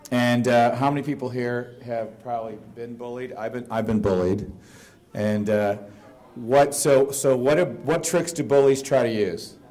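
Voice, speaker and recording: Amid audible room echo, a man with a dark, mellow tone and medium pitch speaks fairly slowly, with ordinary pitch variation. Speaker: conference speaker. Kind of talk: presentation to audience. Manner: loud.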